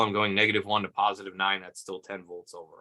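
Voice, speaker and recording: A man's fairly low voice, bright and sharp in tone, with a dry, close sound and no echo. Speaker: automotive diagnostics trainer. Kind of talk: livestream tutorial Q&A. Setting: home livestream. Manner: fast.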